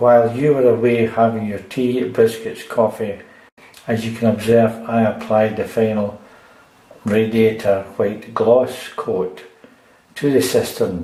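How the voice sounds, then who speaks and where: A man with a Scottish accent at medium pitch, a fairly slow pace and monotone, flat intonation, with audible room echo and noticeable background noise. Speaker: DIY repair video maker. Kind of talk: tutorial. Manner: casual.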